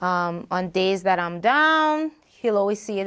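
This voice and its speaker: A woman with a Bahamian accent speaks at medium pitch against a quiet background. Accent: Bahamian accent, noticeable. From Bahamas. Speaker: singer and rapper. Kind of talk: casual interview.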